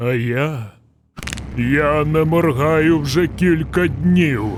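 Slowly, very slowly, a man delivers a put-on character voice. It sits fairly high, with ordinary pitch variation. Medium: fan dub. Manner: deadpan, slow, unflappable.

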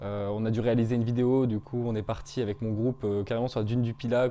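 A man at medium pitch, with a dark, mellow tone, speaks at a fairly quick pace in a monotone, flat intonation. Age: 20s. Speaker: business school student. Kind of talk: interview testimony; interview answer. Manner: hesitant, many fillers. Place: home room. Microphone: lapel.

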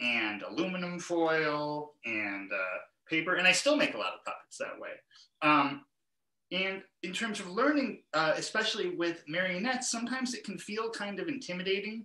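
The pace is moderate. There is audible room echo against a quiet background. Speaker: guest. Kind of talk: interview answer. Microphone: video call.

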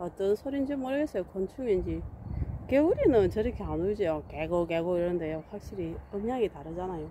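A woman speaks at a moderate pace in an ordinary speaking voice, her medium pitch carried by lively intonation, with a dry sound with no echo and light background noise. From South Korea. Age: 50s. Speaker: vlogger. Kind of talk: casual vlog narration. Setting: outdoors. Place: open country. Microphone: phone near.

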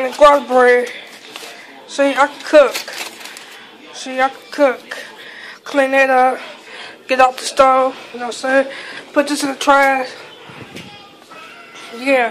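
Against light background noise, the speaker goes fairly slowly in a monotone, flat intonation with long, frequent pauses. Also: woman, high pitch for a woman. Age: 30s. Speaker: home cook vlogger. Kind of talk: casual talk to camera. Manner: defiant, brash. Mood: defensive, ranting at critics. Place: kitchen. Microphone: phone near.

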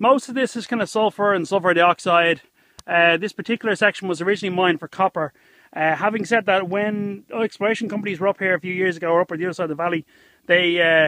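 A man's raised, projected voice at a very fast pace, with ordinary pitch variation, dry sound with no echo and a quiet background. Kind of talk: casual vlog chat. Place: open country. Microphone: phone near.

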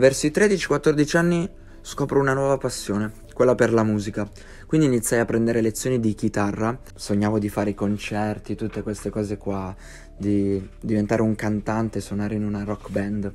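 At a moderate pace, a man talks in a normal speaking voice, fairly low in pitch, with ordinary pitch variation. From Piedmont, northern Italy (Verbania). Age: 20s. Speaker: YouTuber. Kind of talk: personal life story narration.

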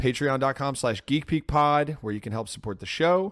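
A man's voice, dry with no echo, against a quiet background. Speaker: podcast host. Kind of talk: podcast intro and plugs. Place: home room. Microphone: studio mic.

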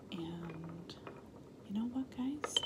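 A soft-spoken woman's gentle tone at a very slow pace, with ordinary pitch variation, over loud background noise. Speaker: ASMR creator. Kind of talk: ASMR roleplay, friendly chat with viewers. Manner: soft-spoken, gentle. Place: home room. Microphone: phone near.

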